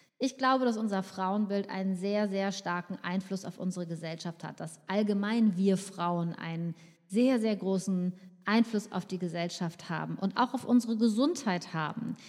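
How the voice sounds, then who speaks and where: An ordinary speaking voice from a woman, medium pitch, ordinary pitch variation, moderate pace. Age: 50s. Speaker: podcast host, nutritionist. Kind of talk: solo podcast monologue.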